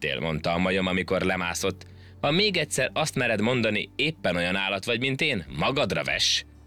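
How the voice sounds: Someone reads in a natural reading voice. The intonation rises and falls in a lively way.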